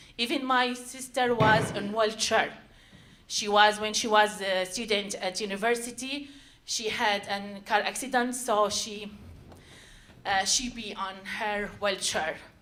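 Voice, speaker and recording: A woman with a non-native accent and fairly high pitch, fairly slow pace, ordinary pitch variation, audible room echo and noticeable background noise. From Syria. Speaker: storyteller. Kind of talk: live storytelling. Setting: stage with audience. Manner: halting.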